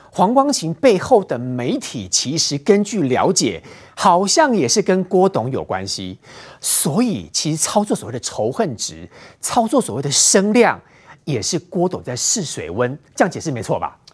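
A man's high voice at a fairly slow pace, with very wide pitch swings, on a very clean recording over a silent background. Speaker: TV political talk show host. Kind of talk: TV panel discussion.

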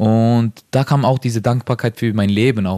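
The recording is very clean with a silent background and a dry, close sound with no echo. A man talks in a monotone, flat intonation at a medium pitch. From Norway. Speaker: professional footballer. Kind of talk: interview. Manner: halting.

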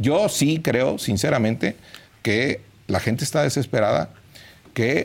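A man talks at a fairly slow pace and a medium pitch with lively intonation. His voice is somewhat breathy. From Mexico, Hidalgo. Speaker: politician. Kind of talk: political commentary.

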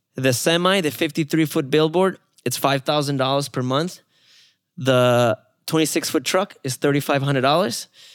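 A man with a Spanish accent, very slow and fairly high in pitch, with ordinary pitch variation, in a very clean, dry, close recording with no echo and a silent background. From Mexico. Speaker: mobile billboard company founder. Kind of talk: casual interview conversation. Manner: friendly, upbeat, funny.

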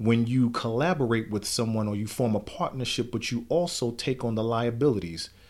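The recording is very clean, with a silent background. A man with an ordinary speaking voice talks at a medium pitch and a fairly slow pace. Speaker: church elder. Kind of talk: casual conversational podcast. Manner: gets fired up, preacher-like.

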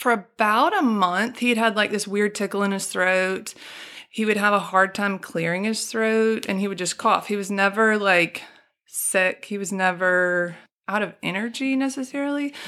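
In a Southern US accent, a woman talks with a bright, sharp tone and ordinary pitch variation. The recording is very clean, with a silent background. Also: medium pitch for a woman, moderate pace. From Alabama (Birmingham), US South. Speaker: storyteller guest sharing personal testimony. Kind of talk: testimony.

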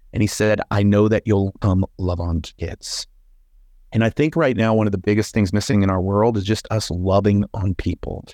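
With an American accent and a dark, mellow tone, the voice keeps a fairly even intonation at a moderate pace, in a dry, close sound with no echo and a quiet background. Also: man, fairly low pitch for a man. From Texas, Hereford. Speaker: professional speaker and speaking coach. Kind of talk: interview, telling his life story.

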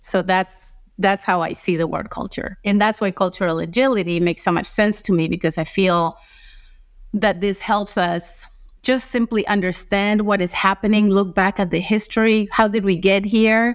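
In a very clean recording with a silent background, a woman with a Spanish accent speaks at a moderate pace and a medium pitch, her intonation fairly even. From Costa Rica. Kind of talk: interview.

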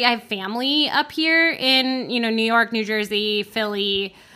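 Using a plain, everyday voice with an American accent, a woman speaks at a moderate pace, fairly high in pitch, with ordinary pitch variation. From Florida, Orlando. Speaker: advertising production head. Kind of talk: casual interview.

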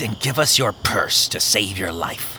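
A man performs a put-on character voice at a moderate pace. Background noise is clearly audible. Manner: growling, threatening.

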